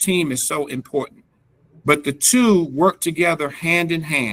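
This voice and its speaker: At a moderate pace, a man with a slight North Carolina accent talks in a fairly high pitch with ordinary pitch variation. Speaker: reentry program expert, presenter. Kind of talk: presentation at a government task force meeting. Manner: halting, many fillers.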